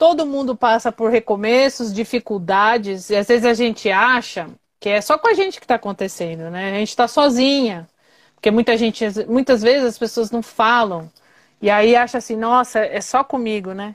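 On a very clean recording with a silent background, a woman with a fairly high pitch talks at a moderate pace with ordinary pitch variation. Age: 40s. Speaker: live show host. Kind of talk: casual chat. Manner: animated.

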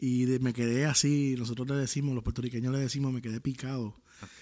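A dark, mellow tone comes through at a fairly quick pace. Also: man. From Puerto Rico. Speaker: worship singer and former pastor. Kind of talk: casual interview chat.

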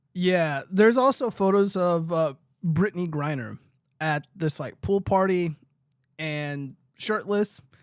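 On a very clean recording with a silent background, a man with a high voice talks fairly slowly, using ordinary pitch variation. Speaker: livestream political commentary host. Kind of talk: casual livestream chat. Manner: profane, casual.

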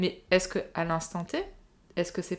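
A woman's medium-pitched voice is heard on a very clean recording against a silent background. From southern France, Nice. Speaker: podcast guest sharing personal story. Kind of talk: personal testimony in casual chat.

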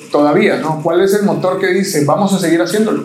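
The voice shows ordinary pitch variation, heard through audible room echo and noticeable background noise. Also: man. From Mexico, Veracruz (Agua Dulce). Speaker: podcast host. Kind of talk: casual chat.

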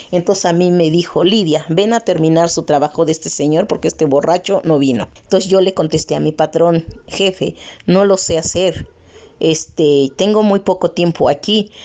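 A woman's normal speaking voice, fairly low in pitch, with ordinary pitch variation, moderate pace and very even loudness. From Oaxaca, Mexico (Mixtec region), raised in Mexico City. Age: 50s. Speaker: interviewee, print shop worker. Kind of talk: testimony.

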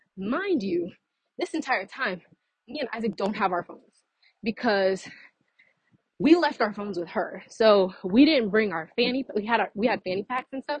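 A somewhat breathy woman's voice with lively intonation, big swings in loudness, and long, frequent pauses. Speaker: podcaster. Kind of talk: casual monologue. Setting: outdoors, walking. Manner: fast.

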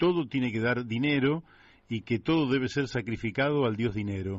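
A man with a Rioplatense accent and lively intonation. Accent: Argentine Spanish (rioplatense). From Buenos Aires, Argentina. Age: 60s. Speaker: radio host. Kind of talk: radio interview.

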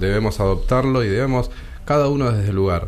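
A man with ordinary pitch variation and audible room echo. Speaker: judge. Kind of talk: radio interview.

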